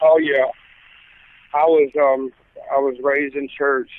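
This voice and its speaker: The speaker has a slight Southern US accent. The pace is fairly slow. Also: man. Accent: Southern US twang, slight. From Mississippi. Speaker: gospel singer and pastor. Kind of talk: interview testimony. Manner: halting, many fillers.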